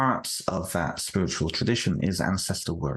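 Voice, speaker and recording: With ordinary pitch variation, a man keeps up a moderate pace. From United Kingdom. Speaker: author. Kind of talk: interview. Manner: halting, frequent repetitions.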